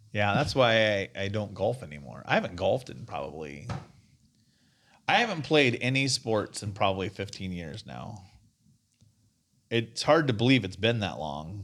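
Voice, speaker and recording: A man speaks with vocal fry at a fairly low pitch, his voice swinging very widely in pitch and sharply in loudness. Long pauses come often, and the recording is very clean with a silent background. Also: moderate pace. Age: 40s. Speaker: podcast host. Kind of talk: casual chat.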